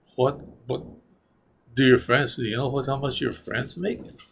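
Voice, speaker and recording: At a fairly slow pace, a man speaks somewhat breathily at a medium pitch. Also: long, frequent pauses. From New Mexico. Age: 70s. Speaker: retiree interviewee. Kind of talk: oral history interview. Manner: halting, repetitive.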